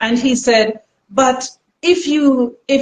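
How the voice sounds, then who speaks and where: This woman has an ordinary speaking voice. Her pitch is fairly high, with ordinary pitch variation. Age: 60s. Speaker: natural health practitioner. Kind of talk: live stream interview. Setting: live stream.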